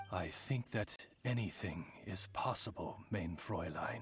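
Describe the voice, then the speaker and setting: Clear music plays in the background. A man puts on a character voice at a fairly low pitch and a fairly slow pace. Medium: video game. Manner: formal, courtly.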